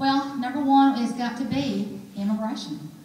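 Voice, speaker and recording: An Alabama accent with ordinary pitch variation, noticeable background noise and audible room echo. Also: woman. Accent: Southern (Alabama), noticeable. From Alabama, Birmingham. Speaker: political candidate. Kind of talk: political forum speech and Q&A. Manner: animated.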